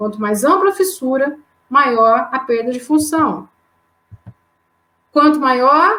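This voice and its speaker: A woman with a strong mineiro accent speaks in a high, raised, projected voice with lively intonation. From Brazil, southern Minas Gerais. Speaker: anatomy professor. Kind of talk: lecture. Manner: hesitant, frequent fillers.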